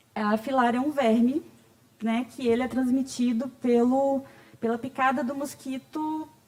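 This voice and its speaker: A woman is speaking. Her pace is fairly slow. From Bahia, Brazil. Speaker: patient advocate, speaker. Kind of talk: conference talk. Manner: conversational.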